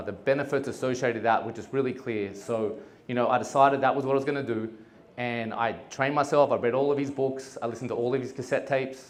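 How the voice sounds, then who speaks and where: A man speaks at a very fast pace with fairly even intonation and a medium pitch. Audible echo hangs in the room. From Australia. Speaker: entrepreneur. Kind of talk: talk to an audience. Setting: stage with audience. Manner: casual, with many fillers.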